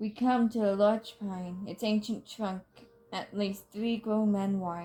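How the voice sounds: Fairly even intonation in a natural reading voice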